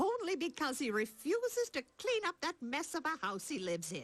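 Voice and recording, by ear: Using a cartoonish character voice, a woman talks at a high pitch with very wide pitch swings and a moderate pace.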